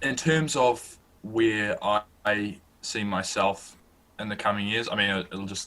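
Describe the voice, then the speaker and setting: Talking with a New Zealand accent, a man with a fairly low pitch and ordinary pitch variation moves at a fairly slow pace with long, frequent pauses. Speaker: student sports journalist and podcast host. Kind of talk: interview, casual chat. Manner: slow, careful; hesitant, many fillers.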